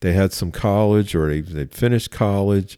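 This man has a dark, mellow tone, a fairly low pitch and ordinary pitch variation, with a Philadelphia accent. The recording is very clean, with a silent background. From Philadelphia, US. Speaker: police chief. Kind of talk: interview conversation.

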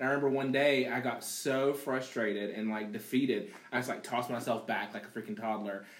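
A man's medium-pitched, animated voice at a fairly quick pace with hardly any pauses, over noticeable background noise. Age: 30s. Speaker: podcast guest. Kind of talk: casual chat.

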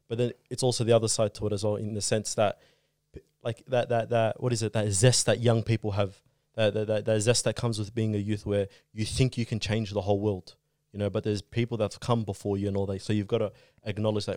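In a very clean recording with a silent background and a dry, close sound with no echo, a man with an Australian accent speaks at a very fast pace in a dark, mellow, fairly low voice with monotone, flat intonation. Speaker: community youth guest. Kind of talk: casual chat.

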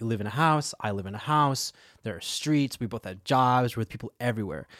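At a fairly quick pace, a man talks in a normal speaking voice with a medium pitch. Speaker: comedian and improviser. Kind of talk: casual chat.

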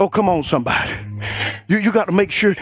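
A man speaks in an animated tone while music plays in the background. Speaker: preacher. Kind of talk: sermon. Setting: church. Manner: animated, call-and-response, rousing; loud, fervent, exhorting the congregation.

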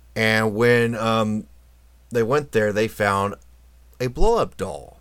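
This man talks at a very slow pace, his pitch sitting in the medium range. The tone is bright and sharp, and the recording is very clean with a silent background. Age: 40s. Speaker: podcast host. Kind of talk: casual monologue.

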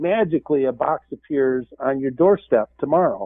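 Fairly high in pitch with ordinary pitch variation, this man has an ordinary speaking voice and a moderate pace. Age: 50s. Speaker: portfolio manager. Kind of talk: radio interview.

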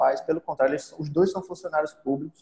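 A man speaks with ordinary pitch variation. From Brazil, interior of Pernambuco (Arcoverde). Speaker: podcaster and online entrepreneur. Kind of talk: casual interview.

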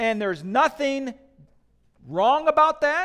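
Speaking with a Midwestern accent, a man uses an extremely high pitch and lively intonation at a fairly slow pace. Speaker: pastor. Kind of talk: sermon.

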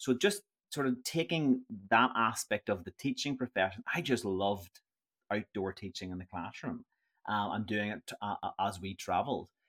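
A man speaks in a fairly low voice with a Northern Irish accent at a moderate pace. The sound is dry and close with no echo, on a very clean recording with a silent background. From Northern Ireland. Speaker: tour company founder. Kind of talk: interview.

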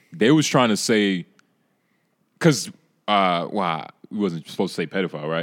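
On a very clean recording with a silent background, a man with a fairly low voice speaks at a moderate pace, using lively intonation and long, frequent pauses. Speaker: guest podcaster. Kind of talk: casual podcast chat. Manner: casual, slangy.

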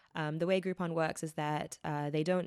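Someone with a New Zealand accent speaks with ordinary pitch variation. The recording is very clean, with a silent background and a dry, close sound with no echo. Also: woman. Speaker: startup founder and CEO. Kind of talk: interview. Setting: recording at a borrowed venue. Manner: frequent filler words.

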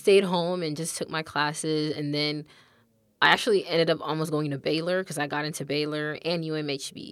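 A woman with an American accent speaks in a very deep, low pitch at a moderate pace with fairly even intonation. Her loudness swings widely on a very clean recording with a silent background. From Texas, Austin. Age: 20s. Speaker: college student and YouTuber. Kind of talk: casual interview.

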